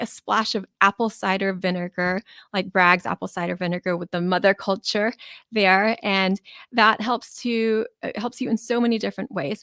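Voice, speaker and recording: A woman's medium-pitched voice with fairly even intonation, in a dry, close sound with no echo, on a very clean recording with a silent background. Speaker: physician podcast host. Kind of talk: solo health podcast talk. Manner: fast; casual with fillers.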